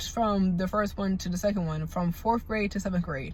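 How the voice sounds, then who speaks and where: At a moderate pace and medium pitch, a woman speaks in a somewhat breathy voice. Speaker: vlogger. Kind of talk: storytime. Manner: casual, halting.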